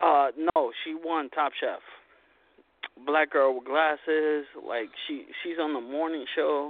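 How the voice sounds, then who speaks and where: Speaking very slowly in a monotone, flat way, a man with a fairly high voice leaves long, frequent pauses. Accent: Long Island. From Long Island, New York. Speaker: caller. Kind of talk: casual chat. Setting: phone call.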